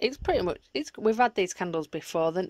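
A woman speaks. The sound is dry with no echo, and the background is quiet. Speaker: home vlogger. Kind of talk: casual vlog chat. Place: home room. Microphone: phone near.

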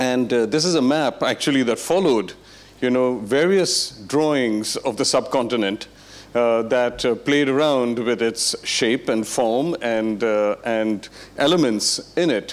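At a fairly slow pace, a man talks with ordinary pitch variation. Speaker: lecturer. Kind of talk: lecture. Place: hall. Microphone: handheld.

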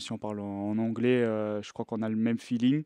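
A man speaks at a moderate pace in a flat monotone, and the sound is dry with no echo against a quiet background. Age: 20s. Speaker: professional footballer. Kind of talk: press conference. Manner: halting. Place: meeting room. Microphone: podium.

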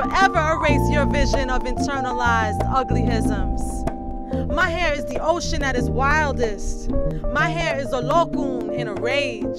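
Over loud background music, a woman talks at a fairly slow pace in a dry sound with no echo. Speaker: poet. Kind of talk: spoken word poetry performance. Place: street. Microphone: studio mic.

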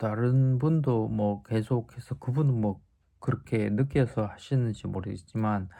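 On a very clean recording with a silent background, a man with a medium pitch and a dark, mellow, somewhat breathy tone speaks fairly slowly with lively intonation. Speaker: stroke survivor vlogger sharing rehab experience. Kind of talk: casual vlog talk to viewers. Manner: hesitant with frequent fillers.

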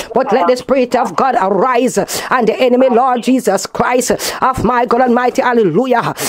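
Moderately paced, a woman speaks at a high pitch with ordinary pitch variation. Her loudness is very even. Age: old. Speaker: pastor; prayer minister. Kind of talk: prayer; fervent spoken prayer. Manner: fervent, repetitive. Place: garden.

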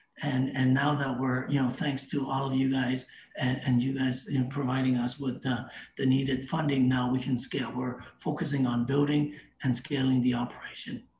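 A man's flat, monotone delivery amid light background noise and audible room echo. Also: moderate pace. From Canada. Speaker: crypto startup representative; guest. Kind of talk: casual interview. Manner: halting with many repetitions. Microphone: video call.

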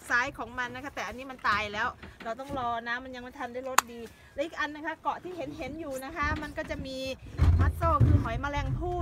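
A woman's voice sounds dry with no echo against loud background noise. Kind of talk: casual vlog chat, tutorial. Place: beach. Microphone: phone near.

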